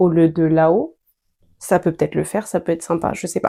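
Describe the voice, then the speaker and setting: A woman's tone is dark and mellow. The recording is very clean, and the background is silent. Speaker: sewing vlogger. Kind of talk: casual vlog talk while sewing. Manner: chatty, hesitant with many fillers.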